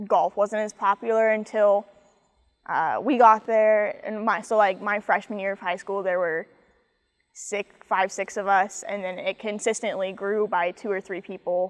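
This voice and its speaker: A woman at medium pitch, moderate pace and monotone, flat intonation, in a dry, close sound with no echo. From US Midwest, Kansas City area. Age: 20s. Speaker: college athlete, golfer. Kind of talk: interview.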